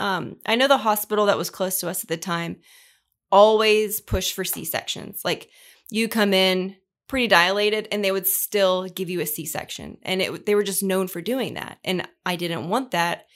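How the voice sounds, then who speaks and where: A woman with an unremarkable speaking voice at medium pitch, speaking at a fairly slow pace on a very clean recording with a silent background. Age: 30s. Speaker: podcast host. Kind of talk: casual chat.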